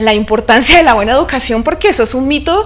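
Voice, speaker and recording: Lively intonation carries the words along at a fairly quick pace. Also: woman. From Colombia, Neiva (Huila). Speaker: oil industry engineer. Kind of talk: interview.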